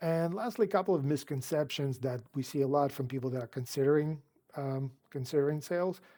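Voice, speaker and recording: A man with a non-native accent speaks at a fairly high pitch in a dark, mellow tone, with ordinary pitch variation. The recording is very clean, with a silent background. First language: not English. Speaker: car sales coach. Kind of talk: advice talk to camera. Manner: casual, conversational.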